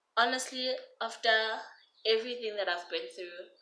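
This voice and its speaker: Audible room echo surrounds a woman's bright, sharp tone. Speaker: YouTuber. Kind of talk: storytime vlog.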